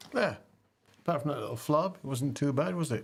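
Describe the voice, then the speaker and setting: In a southern English accent, the speaker moves at a fairly quick pace. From England, near London. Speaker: livestreamer, music app creator. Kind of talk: casual livestream chat. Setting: home studio livestream. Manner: calm, gentle when thoughtful.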